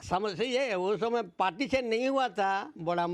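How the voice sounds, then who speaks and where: This man has a high-pitched voice that makes very wide pitch swings. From East Singhbhum, Jharkhand, India. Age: 80s+. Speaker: retired teacher. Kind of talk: interview answer.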